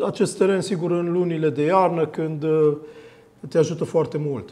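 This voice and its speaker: A man with a dark, mellow tone speaks at a high pitch. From Romania. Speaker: sports TV show host. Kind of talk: studio interview. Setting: TV studio. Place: studio.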